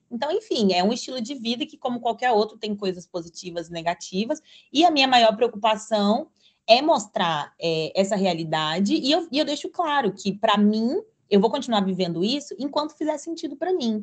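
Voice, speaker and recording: With a fairly high pitch and very wide pitch swings, a woman talks at a moderate pace in a somewhat breathy voice over a quiet background. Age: 20s. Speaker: content creator and digital nomad. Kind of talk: podcast interview.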